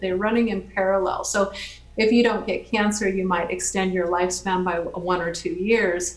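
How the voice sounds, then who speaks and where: Medium pitch from a woman, carrying audible echo from the room. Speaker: biotech company founder presenting. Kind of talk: lecture. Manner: halting.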